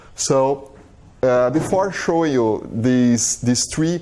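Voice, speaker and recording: Speaking at a very slow pace, a man talks with a strong Brazilian accent. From southern Brazil. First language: Portuguese. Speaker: biologist, visiting scholar. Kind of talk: lecture. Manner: halting, many fillers and repetitions.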